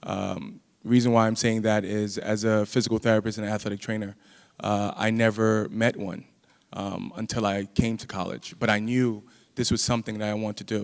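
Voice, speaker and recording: With a New York accent, a man talks in a fairly low voice using monotone, flat intonation. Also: moderate pace. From US Northeast, Brooklyn, New York. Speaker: physical therapist and faculty member. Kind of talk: panel talk.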